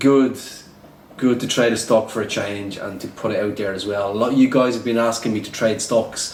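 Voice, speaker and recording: A man with an Irish accent, fairly quick and monotone, flat in delivery, with audible room echo and noticeable background noise. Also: medium pitch for a man. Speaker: day trader and trading educator. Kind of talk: casual vlog commentary. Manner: repetitive, filler-heavy.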